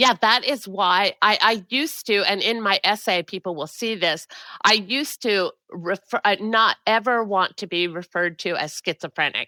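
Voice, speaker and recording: Recorded with a dry, close sound and no echo, a woman speaks in a bright, sharp tone. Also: medium pitch for a woman, ordinary pitch variation, moderate pace. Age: 60s. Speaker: mental health advocate and writer. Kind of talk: interview conversation.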